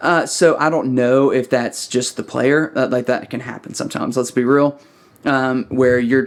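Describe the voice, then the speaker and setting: This man talks in a Southern US accent. His pitch is medium, and his intonation is monotone and flat. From US South, small-town Alabama. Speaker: church sound engineer and audio YouTuber. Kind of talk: casual tutorial critique. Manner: fast; unrehearsed, many fillers.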